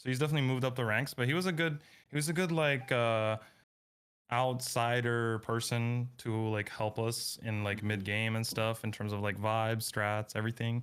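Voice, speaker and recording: A man with a Russian accent talks at a medium pitch and a moderate pace, with ordinary pitch variation and very even loudness. The recording is very clean with a silent background. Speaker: esports player. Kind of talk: post-match interview. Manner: halting.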